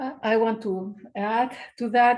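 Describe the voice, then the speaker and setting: The speaker has a Chilean accent. Pitch varies in an ordinary way. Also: woman. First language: Spanish. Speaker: occupational therapy researcher, panelist. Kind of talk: webinar panel discussion.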